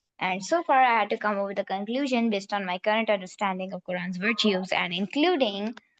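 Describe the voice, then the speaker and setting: The speech moves at a moderate pace in a Pakistani accent. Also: woman. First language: Urdu. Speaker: class participant. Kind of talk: personal testimony in group discussion.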